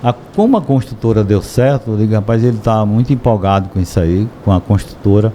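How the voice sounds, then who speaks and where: This man's fairly low, dark, mellow voice moves at a fairly quick pace with fairly even intonation, hardly any pauses and very even loudness. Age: 60s. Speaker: shop owner. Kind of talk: podcast interview.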